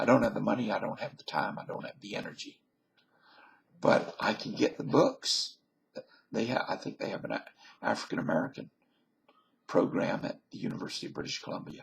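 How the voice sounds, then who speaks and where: A man with a Southern US accent, fairly quick but with long, frequent pauses and big swings in loudness. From US South. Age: 50s. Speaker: vlogger. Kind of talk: casual monologue.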